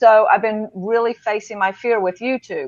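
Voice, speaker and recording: In a Deep South accent, a woman speaks with ordinary pitch variation, the sound dry and close with no echo over a quiet background. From Mississippi. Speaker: public speaker. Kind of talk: casual chat. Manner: halting.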